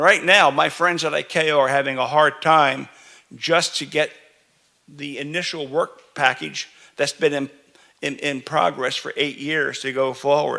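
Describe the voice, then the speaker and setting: Fairly high in pitch, this man speaks in a New York accent. His pace is fairly slow and his intonation fairly even. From New York City. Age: 70s. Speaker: standards committee chair. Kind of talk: keynote speech. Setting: conference stage with audience. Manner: slow, deliberate for translation; halting, many repetitions and fillers.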